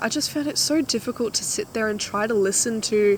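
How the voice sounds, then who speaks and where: A woman with an Australian accent and a fairly high pitch. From Australia, Queensland. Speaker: vlogger. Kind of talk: casual chat. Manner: animated.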